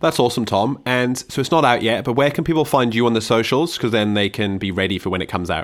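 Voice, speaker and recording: A man with an Australian accent at a medium pitch, very fast pace with hardly any pauses, ordinary pitch variation, on a very clean recording with a silent background. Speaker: student radio host. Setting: radio studio. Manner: animated.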